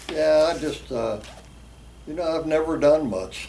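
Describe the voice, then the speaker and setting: With an American accent, a man speaks at a fairly high pitch, with audible room echo and noticeable background noise. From West Virginia. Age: 80s+. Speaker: drag racer. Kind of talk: interview.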